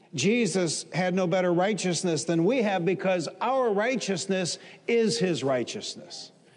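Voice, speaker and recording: With audible room echo, a man of high pitch talks at a fairly slow pace, his loudness very even and his pitch variation ordinary. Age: 60s. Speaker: pastor. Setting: church service before a live congregation.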